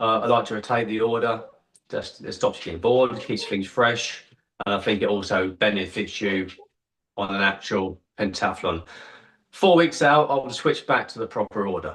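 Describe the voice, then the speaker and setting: In an English accent, a man speaks at a medium pitch with ordinary pitch variation. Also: moderate pace. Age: 50s. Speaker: kettlebell athlete. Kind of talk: casual interview.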